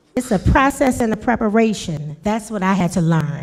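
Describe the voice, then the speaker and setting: A woman in an animated tone, with music in the background. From New Orleans. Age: 50s. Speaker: rapper. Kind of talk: panel interview.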